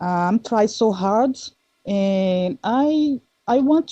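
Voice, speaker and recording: In a Brazilian Portuguese accent, a woman with a dark, mellow tone speaks very slowly with ordinary pitch variation, the sound dry and close with no echo. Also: quiet background. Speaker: listener asking questions. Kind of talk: casual chat. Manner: halting.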